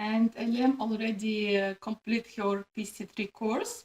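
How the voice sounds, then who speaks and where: Somewhat breathy and fairly high in pitch, a woman with a Russian accent speaks at a fairly slow pace, the sound dry and close with no echo. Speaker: pharmacist and video host. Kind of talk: interview. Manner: halting, many fillers.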